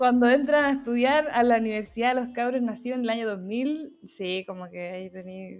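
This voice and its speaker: A woman speaks at a high pitch with ordinary pitch variation and hardly any pauses. Her loudness swings widely. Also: fairly quick pace. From Chile, San Felipe. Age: 20s. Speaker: graphic designer and photographer. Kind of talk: casual interview chat. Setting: video call.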